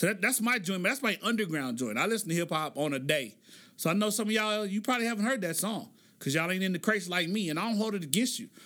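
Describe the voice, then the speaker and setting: A man's raised, projected voice, high-pitched for a man, with a bright, sharp, animated tone, lively intonation and a very fast pace, in an American accent, on a very clean recording with a silent background. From Oklahoma, US. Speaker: podcast host. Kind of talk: solo commentary podcast.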